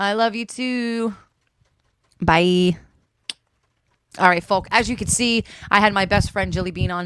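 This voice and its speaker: A woman with an American accent, medium pitch, fairly even intonation, a fairly slow pace and long, frequent pauses. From North Jersey. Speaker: podcast host. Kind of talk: casual chat. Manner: loud.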